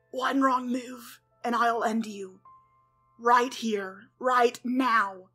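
Very slowly, a woman does a raspy, high-pitched put-on character voice in a flat monotone, with faint music in the background. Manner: angry, threatening.

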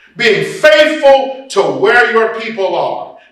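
A man speaks at a fairly slow pace with an extremely high pitch, his voice carrying audible room echo over a quiet background. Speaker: preacher and workshop presenter on preaching. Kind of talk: workshop lecture to an audience of preachers. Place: church.

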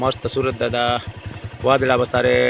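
A man with a medium-pitched voice speaks while noticeable background noise carries on around him. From Gir region, Saurashtra, Gujarat. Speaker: farmer vlogger. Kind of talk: travel vlog. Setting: in a car. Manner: animated.

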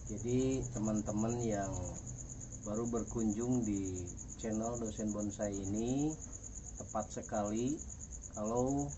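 Over noticeable background noise, a man with a fairly low voice speaks at a very slow pace and with fairly even intonation. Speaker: bonsai hobbyist channel host. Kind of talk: tutorial. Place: garden.

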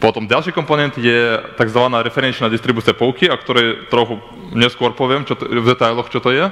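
A man speaks at a fairly quick pace with a non-native accent. His pitch variation is ordinary. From Belarus. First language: not Slovak (speaking Slovak). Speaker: software developer; conference presenter. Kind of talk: conference talk. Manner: halting. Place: hall.

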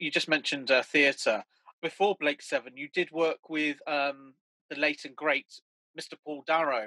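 A man with a British accent speaks at a fairly slow pace. The sound is dry with no echo, and the background is quiet. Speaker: fan event host. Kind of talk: casual interview. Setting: video call. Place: home room. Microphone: webcam.

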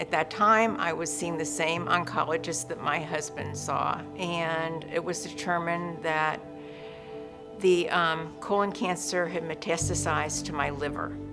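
A woman with a very deep, low pitch at a fairly slow pace, with ordinary pitch variation and clear music in the background. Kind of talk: interview answer. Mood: somber, reflective. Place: studio.

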